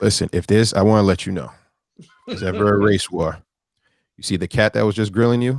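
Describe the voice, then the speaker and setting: A man's fairly low voice at a very fast pace, broken by long, frequent pauses, with big swings in loudness and ordinary pitch variation. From Haiti. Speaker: podcast co-host. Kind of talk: casual chat. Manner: loud, emotional.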